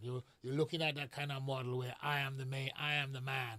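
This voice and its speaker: A man talks at a moderate pace in a fairly high pitch, his tone bright and sharp with fairly even intonation. The recording is very clean, with a silent background. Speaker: diaspora guest commentator. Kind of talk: political discussion.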